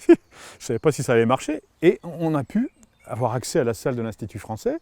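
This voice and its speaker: A man talks at a fairly quick pace in a medium pitch. His intonation is lively, and the sound is dry and close with no echo. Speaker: opera singer and former forester. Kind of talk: interview storytelling. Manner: halting, many repetitions.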